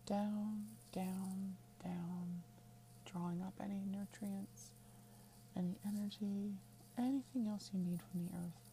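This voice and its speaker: Against noticeable background noise, a woman with a medium pitch and lively intonation talks at a very slow pace with long, frequent pauses. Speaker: witchcraft teacher and podcast host. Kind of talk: guided meditation, tree-root visualization; scripted-style podcast intro with ad. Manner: calm, slow, soothing, instructive.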